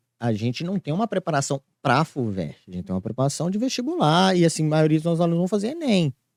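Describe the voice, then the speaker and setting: On a very clean recording with a silent background and a dry, close sound with no echo, a man's fairly high voice makes very wide pitch swings. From Brazil, Minas Gerais (Ipatinga). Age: 30s. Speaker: school director and entrepreneur. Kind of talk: podcast interview. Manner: hesitant, many fillers.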